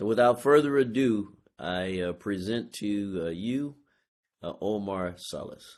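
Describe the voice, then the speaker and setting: Against a quiet background, a man speaks at a very slow pace. His pitch is fairly low, with ordinary variation. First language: English (speaking Spanish). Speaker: university provost. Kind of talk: formal introduction. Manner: hesitant, many fillers.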